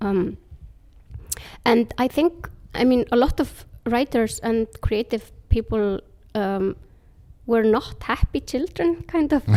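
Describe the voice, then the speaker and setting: At a very slow pace with long, frequent pauses, a woman speaks with a fairly high pitch, lively intonation, and a dark, mellow tone. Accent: Icelandic. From Iceland. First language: Icelandic. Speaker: author. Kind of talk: interview.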